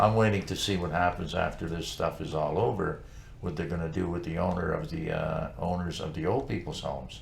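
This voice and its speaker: Audible room echo surrounds a man with a very deep, low voice. He talks fairly quickly with lively intonation. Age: 70s. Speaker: talk show co-host. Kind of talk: casual chat. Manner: animated.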